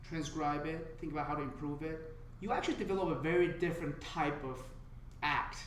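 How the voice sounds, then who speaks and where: With a Chinese accent, a man speaks in a fairly high voice with fairly even intonation. Background noise is noticeable and room echo is audible. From China. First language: Mandarin Chinese. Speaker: stand-up comedian. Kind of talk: casual podcast interview. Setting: comedy club room. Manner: stutter.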